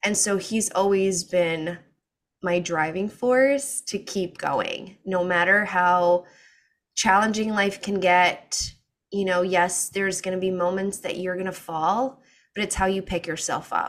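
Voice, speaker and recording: A woman with a plain, everyday voice speaks fairly slowly at a medium pitch with fairly even intonation, on a very clean recording with a silent background. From US, child of Portuguese immigrants. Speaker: breathwork facilitator and sleep coach. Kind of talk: interview.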